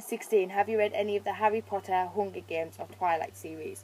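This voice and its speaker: A woman with a British accent at a moderate pace, with music in the background. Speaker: beauty vlogger. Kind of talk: casual chat. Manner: casual, filler-heavy with ums and likes.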